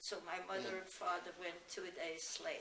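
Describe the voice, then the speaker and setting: Noticeable background noise sits behind this recording. A woman with a German accent speaks at a very slow pace. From Germany. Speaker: Holocaust refugee. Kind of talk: oral history interview answer.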